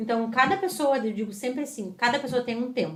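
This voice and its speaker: Lively intonation runs through this woman's speech. Her pitch is fairly high. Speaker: psychologist and driving instructor. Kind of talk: casual interview chat. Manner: fast.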